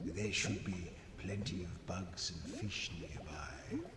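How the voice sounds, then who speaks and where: In a put-on character voice, a man with a very deep, low pitch speaks at a fairly slow pace, with a clear echo and loud background noise. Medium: game stream. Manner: casual, hesitant, scheming.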